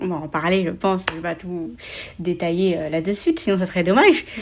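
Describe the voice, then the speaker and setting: A woman speaks at a fairly quick pace in a fairly low pitch with monotone, flat intonation. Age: 20s. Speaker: writer and content creator, hard of hearing. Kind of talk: casual interview chat.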